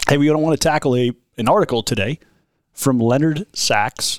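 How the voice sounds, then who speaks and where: Speaking at a fairly quick pace, a man uses a plain, everyday voice with ordinary pitch variation, and the sound is dry and close with no echo. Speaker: pastor. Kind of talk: casual chat.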